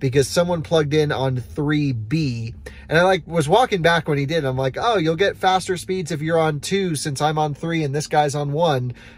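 A man's somewhat breathy voice comes through with a dry sound and no echo. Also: ordinary pitch variation, moderate pace, hardly any pauses. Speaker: road trip vlogger. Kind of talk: casual vlog chat. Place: car. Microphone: phone near.

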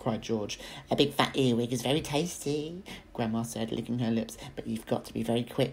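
The pitch moves with ordinary variation. It is a natural reading voice.

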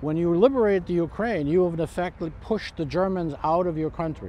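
The sound is dry with no echo as a man with a high pitch speaks over light background noise. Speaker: living history reenactor, amateur military historian. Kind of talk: interview answer. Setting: outdoors. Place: open country.

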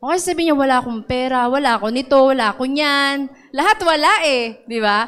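Over a quiet background, a woman with a high pitch speaks in an animated tone at a fairly quick pace with ordinary pitch variation. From Philippines. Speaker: preacher. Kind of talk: sermon. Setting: church with live audience. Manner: exhortative, repeats points. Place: church. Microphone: handheld.

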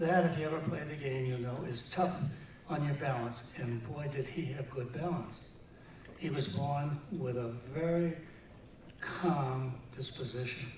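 The speech moves at a fairly slow pace with ordinary pitch variation. Audible room echo and light background noise are present. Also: man. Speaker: presenter accepting honor for friend. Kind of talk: tribute speech. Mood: warm, reminiscing. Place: hall.

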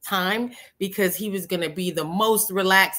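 A woman speaks with a bright, sharp tone and fairly even intonation. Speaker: spiritual podcast host. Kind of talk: casual chat. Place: home room.

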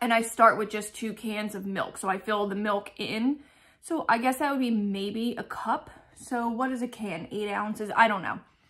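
A woman keeps a moderate pace and fairly even intonation, with a quiet background behind her. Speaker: lifestyle vlogger. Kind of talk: casual vlog chat. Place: home room. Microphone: phone near.

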